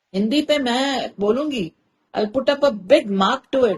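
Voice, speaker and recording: A woman is speaking. Her intonation is lively. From India. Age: 50s. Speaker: content creator and storyteller. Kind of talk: interview conversation. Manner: articulate, clear Hindi pronunciation.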